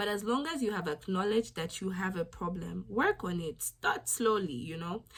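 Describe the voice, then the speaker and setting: With vocal fry and lively intonation, a woman talks at a moderate pace in a medium pitch. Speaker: YouTube vlogger. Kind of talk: motivational vlog talk.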